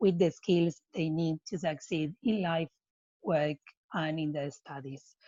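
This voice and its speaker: A woman has a non-native accent. She talks at a fairly slow pace. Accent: non-native English speaker. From Argentina. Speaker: non-profit program manager and coach. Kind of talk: webinar presentation.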